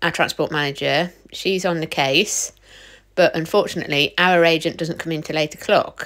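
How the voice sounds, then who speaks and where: Against a quiet background, a woman with an ordinary speaking voice talks at a moderate pace, fairly low in pitch, with fairly even intonation. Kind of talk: casual vlog chat. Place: car. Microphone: phone near.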